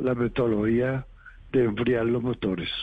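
A man with a medium pitch. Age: 80s+. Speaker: doctoral candidate, engineer. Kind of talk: interview. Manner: halting.

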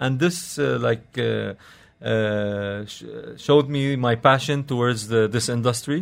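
Over noticeable background noise, a man talks at a fairly slow pace in a medium pitch with ordinary pitch variation. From Lebanon, Beirut. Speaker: restaurant and nightlife entrepreneur. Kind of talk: radio interview. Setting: radio studio. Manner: halting, frequent uh fillers.

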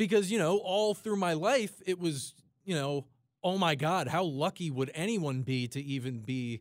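In an American accent, a man talks with a normal speaking voice and lively intonation at a moderate pace. The recording is very clean, with a silent background. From South Jersey, US. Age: 20s. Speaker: radio station engineer. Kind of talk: casual sports talk radio chat.

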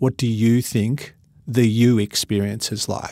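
A man with an Australian accent, medium pitch and fairly even intonation, in a very clean recording over a silent background. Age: 50s. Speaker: motivational speaker. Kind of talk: interview.

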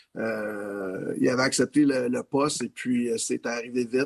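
A man with a Quebec accent at a fairly slow pace, in monotone, flat intonation, with a dry, close sound and no echo. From Quebec, Laval. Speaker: assistant hockey coach. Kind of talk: interview. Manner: halting.

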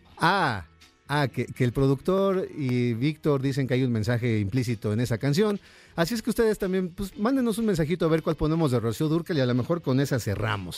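Over a silent background in a very clean recording, a man with a fairly high voice talks fairly quickly, his pitch swinging very widely. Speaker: radio host. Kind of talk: radio dj patter, live music-and-chat show banter. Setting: live radio studio. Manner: animated, upbeat, chatty and warm.

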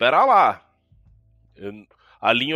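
A man speaks with music playing in the background. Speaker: sports podcast host. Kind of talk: casual sports chat.

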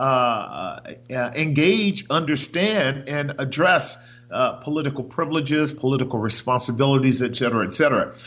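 Here is an ordinary speaking voice from a man, fairly high in pitch. His pace is moderate, and his pitch varies in an ordinary way. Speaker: radio host and pastor. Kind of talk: radio talk show interview. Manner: uses many filler sounds.

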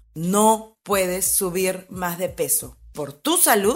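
Music plays behind a woman speaking at a medium pitch. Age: 40s. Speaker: podcast host, former fitness trainer and photographer. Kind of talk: personal storytelling monologue.

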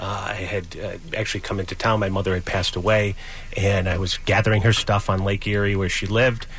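There is noticeable background noise behind this man. He speaks with fairly low pitch and monotone, flat intonation. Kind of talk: storytelling recount, casual interview. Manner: conversational, rambling with fillers.

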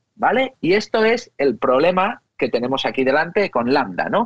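A high-pitched man's voice with very wide pitch swings and a fairly slow pace. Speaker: technology expert. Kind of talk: interview.

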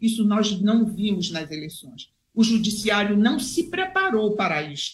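The voice is somewhat breathy, with lively intonation and big swings in loudness. It moves at a fairly slow pace. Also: woman, fairly high pitch for a woman. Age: 70s. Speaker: retired judge. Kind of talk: political commentary.

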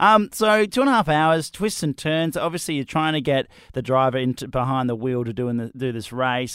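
In an Australian accent, the speaker moves at a fairly quick pace with very wide pitch swings on a very clean recording with a silent background. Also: man. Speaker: radio breakfast host. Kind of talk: casual chat.

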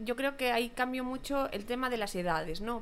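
A high-pitched woman at a fairly quick pace. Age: 30s. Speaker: podcast host. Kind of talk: casual chat.

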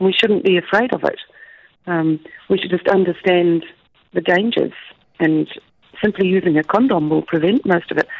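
Using vocal fry and lively intonation, a woman keeps her loudness very even while taking long, frequent pauses. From Australia. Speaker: project coordinator for a medical charity. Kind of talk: radio interview.

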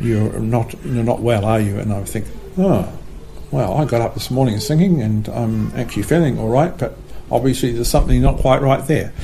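A man delivers his words at a moderate rate as noticeable background noise carries on. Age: 60s. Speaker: retired missionary and motel manager. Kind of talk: casual interview, telling life story.

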